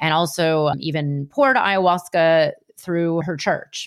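A woman's normal speaking voice, fairly low in pitch, with ordinary pitch variation, on a very clean recording against a silent background. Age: 40s. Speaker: spiritual business coach and podcast host. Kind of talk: solo podcast monologue.

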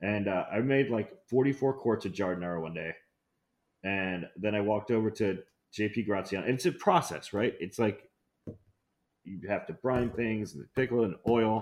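Moderate pace, ordinary pitch variation, and a quiet background. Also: man, fairly low pitch for a man. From US Midwest (Ohio/Detroit), partly Brazil. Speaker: chef and restaurateur. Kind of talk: casual interview chat.

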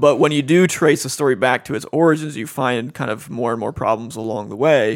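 Someone with an American accent and a plain, everyday voice talks at a fairly quick pace with ordinary pitch variation. The recording is very clean, with a silent background. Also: man, medium pitch for a man. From Cincinnati, Ohio. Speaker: seminary professor. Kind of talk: casual interview.

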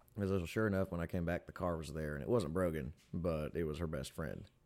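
A man talks at a fairly quick pace in a very deep, low pitch. The recording is very clean, with a silent background. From Tennessee, Pickwick. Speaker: fiddle player, musician. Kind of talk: casual chat. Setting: studio.

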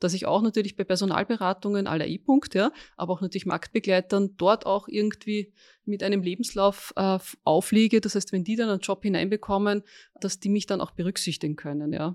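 A woman talks at a fairly quick pace and a medium pitch, with fairly even intonation and an unremarkable speaking voice. The recording is very clean and dry, close with no echo, over a silent background. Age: 50s. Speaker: recruitment executive. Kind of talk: interview. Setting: office room.

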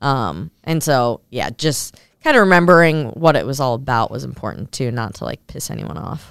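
A woman with an American accent and a very deep, low voice with vocal fry, moderate in pace with hardly any pauses, very wide pitch swings, and big swings in loudness. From Minnesota, US. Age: 20s. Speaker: professional wakeboarder and TV host. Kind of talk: casual interview.

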